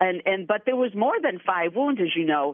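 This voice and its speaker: Using lively intonation, a woman talks at a medium pitch in an unremarkable speaking voice. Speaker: author. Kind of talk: interview.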